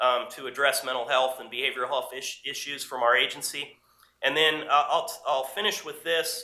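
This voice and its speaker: This man's voice sits at a fairly high pitch and has a bright, sharp tone. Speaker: police official presenting to a state commission. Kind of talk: formal presentation and testimony at a public meeting. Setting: government commission meeting. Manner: fast.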